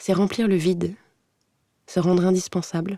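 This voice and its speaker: On a very clean recording with a silent background, a woman speaks at a moderate pace. Her pitch is fairly low. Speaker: actress. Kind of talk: literary voice-over narration for an animated short film. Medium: animated short film.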